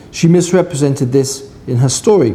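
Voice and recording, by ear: A man speaks in a southern English accent with a dark, mellow tone. His pace is moderate. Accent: British, educated southern English.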